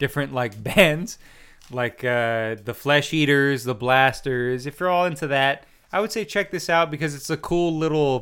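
His intonation is lively, and this man uses an ordinary speaking voice at a medium pitch. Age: 30s. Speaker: podcast host. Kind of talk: casual chat.

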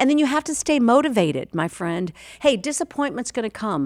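Recorded very cleanly against a silent background, a woman's fairly high voice comes through with a dry, close sound and no echo. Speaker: life coach and podcast host. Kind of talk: motivational sermon-style coaching monologue. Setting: studio, video and podcast. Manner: animated, preacher-like, exhortative; energetic, motivated.

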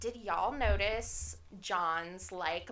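A woman's very slow speech at a medium pitch, bright, sharp tone, vocal fry and audible room echo. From New Orleans area, Louisiana. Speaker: podcast host, poet. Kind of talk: casual chat.

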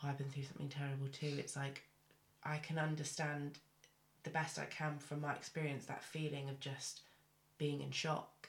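Somewhat breathy and very deep, a woman's voice stays monotone and flat, broken by long, frequent pauses. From Cornwall, England. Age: 20s. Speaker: podcast host. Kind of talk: interview.

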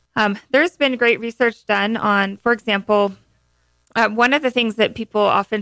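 A plain, everyday voice with fairly even intonation, moderate pace, and a dry, close sound with no echo. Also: woman. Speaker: homeopath. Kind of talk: educational interview.

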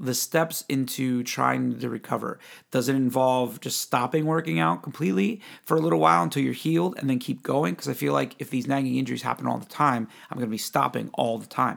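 Lively intonation from a man in a normal speaking voice at a medium pitch, at a fairly quick pace, in a very clean recording with a silent background. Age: 40s. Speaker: podcast host. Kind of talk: casual chat.

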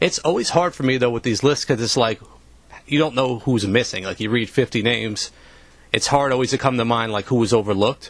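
Talking at a very fast pace, a man with an American accent holds a medium pitch with ordinary pitch variation. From New York. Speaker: podcast co-host. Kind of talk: casual chat.

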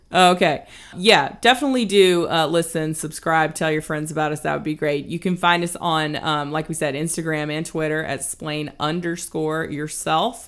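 A woman with a very deep, low pitch and ordinary pitch variation speaks in a relaxed tone with hardly any pauses. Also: moderate pace. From US South. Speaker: podcast co-host. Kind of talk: casual chat. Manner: conversational, relaxed, laughs often.

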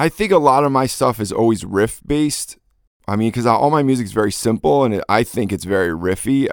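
A man with a plain, everyday voice at a moderate pace, ordinary pitch variation, and a very clean recording with a silent background. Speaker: DJ and producer. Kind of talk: casual interview. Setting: home studio.

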